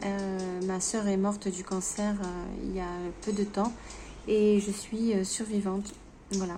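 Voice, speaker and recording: A woman's monotone, flat delivery at a fairly slow pace. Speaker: vlogger sharing grief testimony. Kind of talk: unscripted personal vlog testimony. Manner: halting, many hesitations and stammers.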